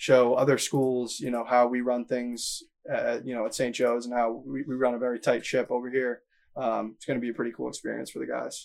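With an American accent, a man talks at a fairly quick pace in a monotone, flat intonation. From Massachusetts. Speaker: college golf coach. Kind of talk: interview.

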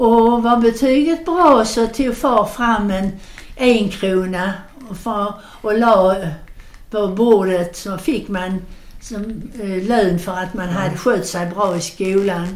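A woman at a very slow pace and medium pitch, ordinary pitch variation, with audible room echo and noticeable background noise. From southern Sweden (Skåne, Landskrona). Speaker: grandmother telling childhood memories. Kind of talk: storytelling. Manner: animated.

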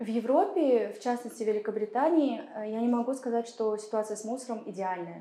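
With an ordinary speaking voice, a woman talks at a fairly quick pace with hardly any pauses, her fairly high pitch showing ordinary pitch variation. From Kazakhstan. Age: 30s. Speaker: political consultant and activist. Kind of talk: interview. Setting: studio.

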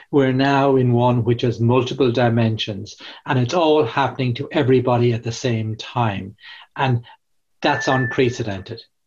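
Over a quiet background, a man talks in an Irish accent at a moderate pace with fairly even intonation. His voice is medium-pitched and somewhat breathy. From Ireland. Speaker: corporate real estate expert and author. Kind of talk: podcast interview. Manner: hesitant, many fillers.

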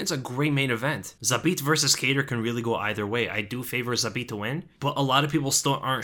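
The man talks at a fairly quick pace. His tone is bright and sharp, with ordinary pitch variation. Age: 20s. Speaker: MMA podcast host. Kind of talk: casual solo commentary podcast.

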